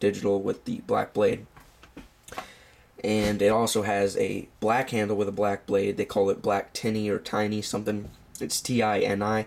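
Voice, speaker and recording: The man's fairly low voice holds a monotone, flat intonation as he keeps a moderate pace. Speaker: knife reviewer. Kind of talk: product review video. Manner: casual with many fillers.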